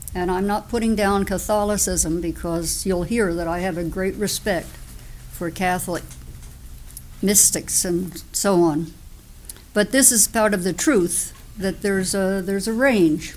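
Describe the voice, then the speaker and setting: A woman's normal speaking voice at medium pitch, fairly slow pace and ordinary pitch variation. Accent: American. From US Northeast (New Jersey). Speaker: Quaker sharing life story. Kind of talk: testimony.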